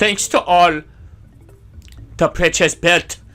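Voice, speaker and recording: A man's voice with music in the background. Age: 30s. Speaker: gaming video creator. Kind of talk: let's play commentary. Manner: casual, hesitant with fillers.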